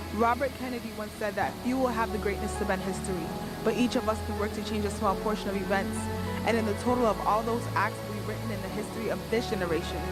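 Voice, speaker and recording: A woman rattles along at a very fast pace while music plays in the background. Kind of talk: spoken word poetry performance. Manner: earnest, impassioned.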